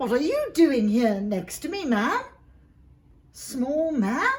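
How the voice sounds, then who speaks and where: A woman speaks in a put-on character voice. It is high in pitch and very slow in pace. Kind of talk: bedtime story. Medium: read story. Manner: breezy, playful, slightly grand.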